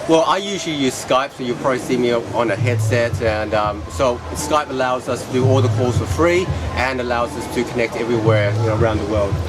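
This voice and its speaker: Over music in the background and with audible room echo, a man talks fairly quickly with lively intonation and hardly any pauses. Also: medium pitch for a man. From Perth, Western Australia. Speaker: business coach. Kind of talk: casual interview.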